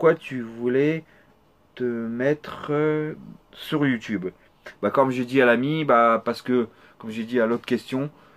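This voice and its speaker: Speaking at a very slow pace with long, frequent pauses, this man has a medium pitch, fairly even intonation and big swings in loudness. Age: 30s. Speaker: gaming youtuber. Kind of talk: Q&A video answering subscriber questions. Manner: halting.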